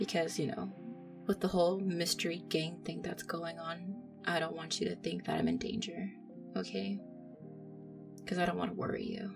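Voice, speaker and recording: A woman is speaking. Music plays behind her. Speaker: voice actor in roleplay. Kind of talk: roleplay monologue to listener. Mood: apologetic, affectionate, laughing.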